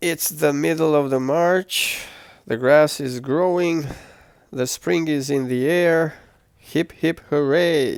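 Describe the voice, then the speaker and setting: Here a man talks very slowly in a relaxed tone. His voice is fairly high, with fairly even intonation. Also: very clean recording, silent background. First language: not English. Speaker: travel vlogger. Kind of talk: travel vlog narration. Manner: relaxed, with hesitations.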